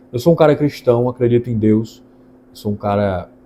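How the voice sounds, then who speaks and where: A man's somewhat breathy voice with a dark, mellow tone, at a moderate pace. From Brazil, Ceará interior (Northeast). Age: 20s. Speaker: lawyer. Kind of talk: channel introduction monologue.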